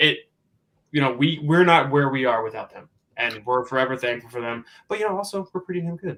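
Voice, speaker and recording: In a plain, everyday voice, a man with an American accent speaks at a fairly quick pace, his pitch fairly high and his loudness swinging widely. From New York / New Jersey, US. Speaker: professional wrestler. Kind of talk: interview.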